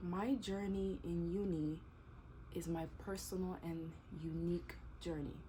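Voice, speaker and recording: Somewhat breathy and dark, mellow in tone, a woman talks at a fairly slow pace with fairly low pitch and ordinary pitch variation. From DR Congo, Kinshasa. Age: 20s. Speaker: YouTuber and teacher. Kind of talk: casual Q&A vlog.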